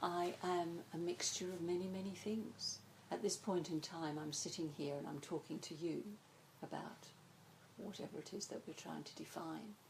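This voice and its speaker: A woman speaks at a moderate pace in a fairly low, somewhat breathy voice with fairly even intonation. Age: 60s. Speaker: psychotherapist. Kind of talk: interview.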